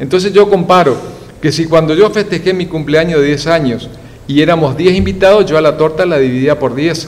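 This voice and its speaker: With ordinary pitch variation, a man talks at a fairly high pitch amid noticeable background noise. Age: 60s. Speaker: fish scientist and institute director. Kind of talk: TV news interview. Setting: TV studio. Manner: hesitant, many fillers.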